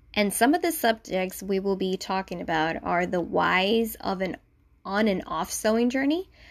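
A woman with a Spanish accent speaks at a moderate pace. The recording is very clean, with a silent background. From Puerto Rico. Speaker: podcast host and sewing blogger. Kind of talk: casual solo podcast intro. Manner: informal, conversational.

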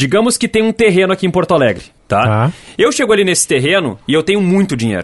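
A man talks at a very fast pace in a high pitch. His pitch swings very widely while his loudness stays very even. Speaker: podcast host. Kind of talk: casual chat. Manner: animated.

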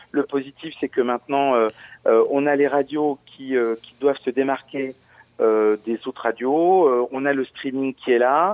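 At a very slow pace, a man of medium pitch speaks with fairly even intonation. His loudness swings widely. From Lorraine, France (Verdun). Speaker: DJ and remixer. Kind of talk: casual interview. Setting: phone call.

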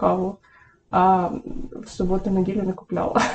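At a moderate pace, a woman talks at medium pitch. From Ukraine, Poltava region. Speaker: online psychologist. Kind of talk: casual chat. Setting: home kitchen.

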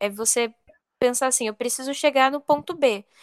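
This woman's voice sits high in pitch, with fairly even intonation and a dry, close sound that has no echo. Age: 20s. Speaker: IT analyst and blind accessibility advocate. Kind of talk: casual interview.

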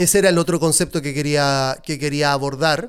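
Here a man speaks with a Chilean accent. His tone is animated. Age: 30s. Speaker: podcast host. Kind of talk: solo podcast monologue.

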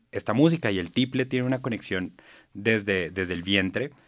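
Recorded very cleanly against a silent background, a man speaks in a normal speaking voice with a fairly low pitch and ordinary pitch variation. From Colombia, Bogotá. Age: 30s. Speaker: musician. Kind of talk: interview.

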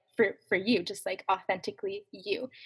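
A woman speaks at a moderate pace in a medium pitch with a plain, everyday voice. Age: 20s. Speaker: youth minister. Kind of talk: casual chat.

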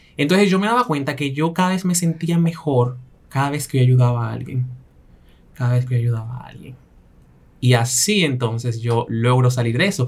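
A plain, everyday voice from a man, medium in pitch, at a moderate pace with ordinary pitch variation. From Belgium, raised in Latin immigrant family. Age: 20s. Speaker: image consultant and fashion stylist. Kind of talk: interview, personal testimony.

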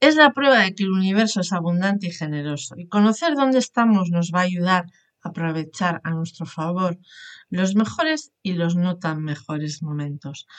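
Using a plain, everyday voice, a woman speaks at medium pitch and a moderate pace with lively intonation. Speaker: podcast host, coach. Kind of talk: interview; scripted narration.

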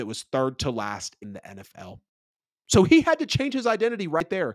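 A man speaks in an animated tone with big swings in loudness, and the sound is dry and close with no echo. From US South, Metro Atlanta, Georgia. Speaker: NFL podcast host. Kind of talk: casual solo sports podcast, livestreamed.

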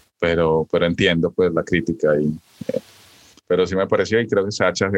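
A man speaks at a fairly quick pace with a very deep, low pitch. The sound is dry and close, with no echo. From rural Colombia. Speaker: podcast co-host. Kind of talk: casual chat. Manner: halting, many fillers.

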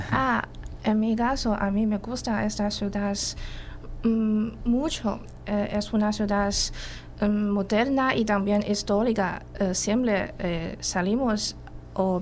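With a Chinese accent, a woman of medium pitch speaks at a very slow pace, her loudness very even and her intonation fairly even, amid audible room echo. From Guangdong, China. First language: Chinese (speaking Spanish). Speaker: language teacher. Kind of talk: radio interview. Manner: halting.

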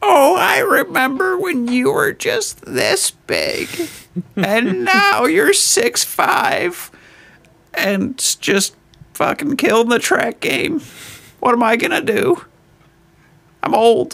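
A man's put-on character voice, extremely high-pitched and very slow, broken by long, frequent pauses. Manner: nostalgic, wistful.

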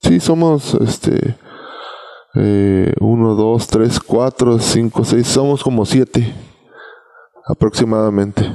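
Very slowly and with long, frequent pauses, a man speaks at very even loudness in a dry, close sound with no echo. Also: medium pitch for a man, ordinary pitch variation. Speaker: reggae singer. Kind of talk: casual chat. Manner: halting.

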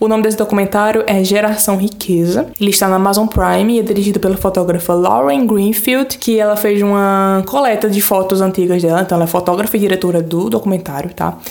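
A woman's medium-pitched, animated voice at a very fast pace with hardly any pauses, very even loudness and ordinary pitch variation, over noticeable background noise. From Brazil, Pernambuco (Floresta). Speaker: podcast host. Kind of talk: casual monologue.

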